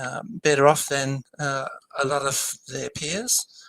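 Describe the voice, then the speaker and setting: A man with an Australian accent speaks in a bright, sharp tone at a fairly high pitch. The sound is dry and close, with no echo. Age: 70s. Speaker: political campaigner. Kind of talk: interview. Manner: hesitant, many ums.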